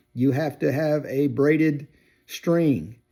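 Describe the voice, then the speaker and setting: With a Southern US accent, a man speaks at a fairly high pitch in a dark, mellow tone with ordinary pitch variation. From US South, Georgia. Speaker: outdoors video creator. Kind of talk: casual opinion monologue. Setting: workshop. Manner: hesitant with fillers and repeats.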